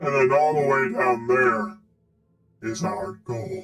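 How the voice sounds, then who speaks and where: In a put-on character voice, this man's fairly high pitch comes out at a fairly slow speed. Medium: actual play. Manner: casual, wry.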